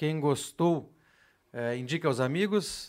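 On a very clean recording with a silent background, a man with a fairly high pitch speaks at a fairly slow pace in a plain, everyday voice. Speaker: podcast host. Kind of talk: casual podcast chat with giveaway announcements. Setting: studio.

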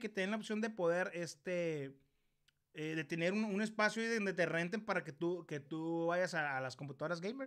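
Lively intonation runs through this man's speech. The recording is very clean, its background silent. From Mexico, Ciudad Obregón, Sonora. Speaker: YouTuber, live stream host. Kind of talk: casual live-stream interview. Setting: live stream. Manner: animated.

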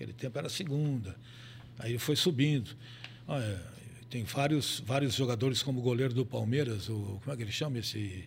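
A man at a medium pitch talks at a fairly quick pace with long, frequent pauses, and room echo is audible. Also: ordinary pitch variation. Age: 80s+. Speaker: veteran radio and sports broadcaster. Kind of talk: casual interview. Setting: studio, live video stream.

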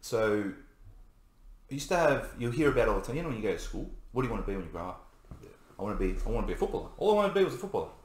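A man at a very fast pace with an Australian accent, broken by long, frequent pauses, with audible room echo. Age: 30s. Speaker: navy serviceman. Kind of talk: casual chat.

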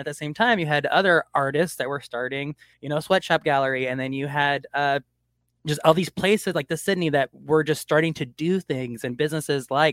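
A man speaks with a fairly high pitch and ordinary pitch variation. His tone is animated and enthusiastic, and the sound is dry and close with no echo. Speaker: artist and community arts advocate. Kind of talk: casual chat. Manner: animated, enthusiastic.

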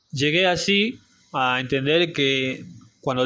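This is a man with an ordinary speaking voice, fairly high in pitch, with ordinary pitch variation. He talks at a fairly slow pace over a quiet background. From Salta, northern Argentina. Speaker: barista and café owner. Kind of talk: interview.

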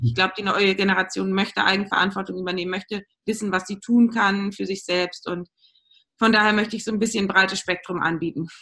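Bright and sharp in tone, a woman talks at a fairly quick pace at a medium pitch, varying it in an ordinary way. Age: 30s. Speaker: general practitioner and acupuncturist. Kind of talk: interview.

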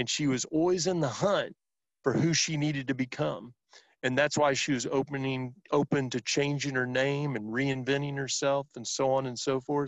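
A man's fairly high-pitched, normal speaking voice at a moderate pace with fairly even intonation. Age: 50s. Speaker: sales professional and author. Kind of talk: interview.

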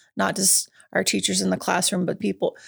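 A woman talks fairly quickly, and the recording is very clean with a silent background. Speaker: school staff member and parent.

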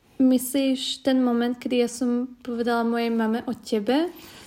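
A woman with a high pitch speaks in a dark, mellow tone with monotone, flat intonation. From Slovakia. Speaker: podcast co-host. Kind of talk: casual chat.

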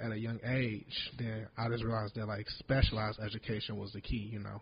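The voice is soft-spoken and somewhat breathy. Its intonation stays monotone and flat. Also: man. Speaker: moving company owner. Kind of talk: casual podcast conversation. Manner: soft-spoken, needs to speak up.

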